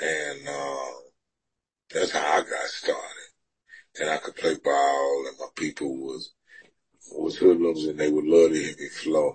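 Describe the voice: A man speaks at an extremely low pitch with a husky, rough edge and little pitch movement. His pace is slow, with long, frequent pauses.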